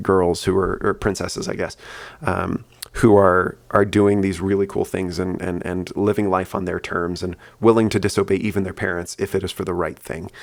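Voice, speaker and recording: This soft-spoken man talks in a very deep, low register with monotone, flat intonation. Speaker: podcaster. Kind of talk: casual monologue. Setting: at home, kids asleep. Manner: fast.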